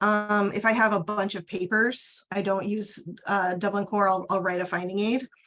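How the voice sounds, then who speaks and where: This woman has an unremarkable speaking voice. Her pace is moderate. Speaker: archivist. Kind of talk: webinar Q&A.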